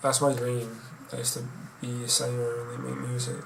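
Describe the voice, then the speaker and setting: A man with a relaxed tone speaks at medium pitch and a fairly slow pace in a monotone, flat way. Noticeable background noise is present. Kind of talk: casual talk to camera. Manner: relaxed, rambling.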